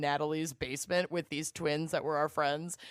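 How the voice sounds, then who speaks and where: A woman at a fairly low pitch in a very clean recording with a silent background. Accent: Minnesota. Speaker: podcast guest. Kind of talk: casual chat.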